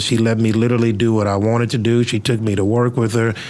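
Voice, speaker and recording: A man's medium-pitched voice with an American accent, fairly quick and monotone, flat in intonation, with noticeable background noise. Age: 40s. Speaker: pastor and podcast host. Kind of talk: casual interview. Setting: studio.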